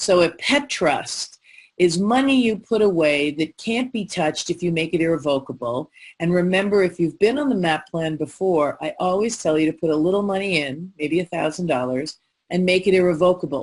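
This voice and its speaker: Lively in intonation, a woman with an unremarkable speaking voice speaks at a fairly low pitch and moderate pace. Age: 60s. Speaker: lawyer and mediator giving pet care planning webinar. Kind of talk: webinar presentation. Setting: online webinar.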